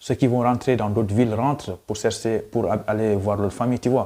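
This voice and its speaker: A man is speaking here. His tone is dark and mellow. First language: Pulaar (Fula) (speaking French). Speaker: YouTuber, student. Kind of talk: casual vlog storytelling.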